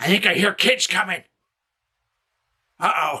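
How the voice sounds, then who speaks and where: This is a man. He uses a put-on character voice. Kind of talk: comic overacting. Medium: comedy sketch. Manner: grumbling, cantankerous.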